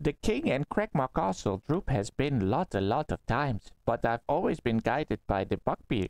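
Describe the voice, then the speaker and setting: A man uses a put-on character voice at medium pitch. He keeps a moderate pace with hardly any pauses. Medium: actual play. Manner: refers to himself in third person, halting.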